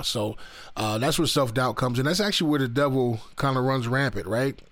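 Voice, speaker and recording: A man speaks very fast. His medium pitch shows ordinary variation. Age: 30s. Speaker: podcast host. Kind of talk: casual motivational monologue. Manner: many fillers and repetitions.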